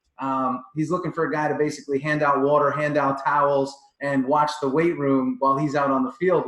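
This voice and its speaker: Talking at a very fast pace, a man with a Long Island accent has a fairly high voice. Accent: Long Island New York. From Long Island, New York. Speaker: performance coach. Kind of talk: interview.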